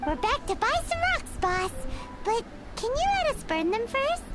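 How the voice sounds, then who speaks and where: A put-on, squeaky character voice at an extremely high pitch and moderate pace, with clear music in the background. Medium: video game. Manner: chatty, expressive.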